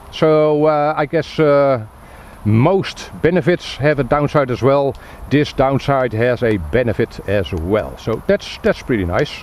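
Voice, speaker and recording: A man talks at a fairly slow pace. His pitch sits fairly high and his intonation is lively. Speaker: tech reviewer. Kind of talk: product review. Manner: hesitant, many fillers.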